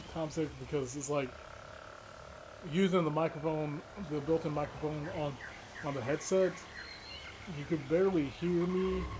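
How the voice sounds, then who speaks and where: Long, frequent pauses break up a man's fairly high-pitched speech. Noticeable background noise sits behind him. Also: moderate pace. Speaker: gaming youtuber. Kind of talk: gameplay commentary. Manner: halting, repetitive. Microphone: new microphone, clearer than headset.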